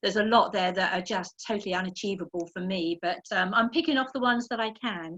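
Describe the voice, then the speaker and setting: Speaking at a very fast pace, a woman with an English accent leaves hardly any pauses. Her pitch is medium. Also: ordinary pitch variation. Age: 60s. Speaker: masters indoor rower. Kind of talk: interview. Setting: video call.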